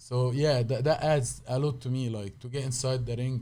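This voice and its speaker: A man speaks with a strong Egyptian accent at medium pitch. His tone is dark and mellow, and somewhat breathy. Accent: heavy Egyptian Arabic. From Egypt, Cairo. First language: Arabic. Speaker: professional wrestler and martial artist. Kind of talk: casual chat. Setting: studio.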